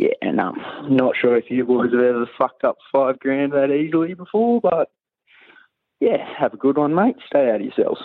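The speaker has a strong Australian accent and keeps a very even loudness. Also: man, moderate pace. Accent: broad Australian. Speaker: tradesman caller. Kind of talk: casual voice message yarn.

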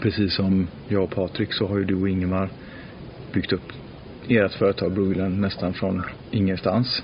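A man's very deep, low voice, monotone and flat, at a moderate pace with long, frequent pauses and very even loudness, amid noticeable background noise. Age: 40s. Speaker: podcast host. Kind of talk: casual chat.

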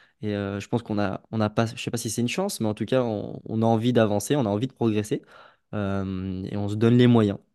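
Against a quiet background, the voice is dark and mellow, moving at a fairly quick pace with a monotone, flat intonation. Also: man, fairly low pitch for a man. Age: 20s. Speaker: life coach. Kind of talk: podcast interview.

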